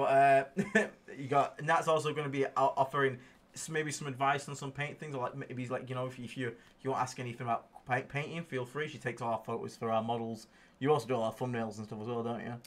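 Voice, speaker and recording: A man at a very fast pace, medium-pitched, with fairly even intonation. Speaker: podcast host and wargaming coach. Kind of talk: livestream casual chat.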